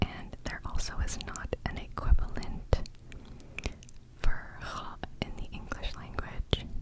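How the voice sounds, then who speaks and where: Someone whispers at a very slow pace with long, frequent pauses. Noticeable background noise runs underneath. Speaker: ASMR creator teaching Arabic. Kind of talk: ASMR tutorial. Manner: whispering.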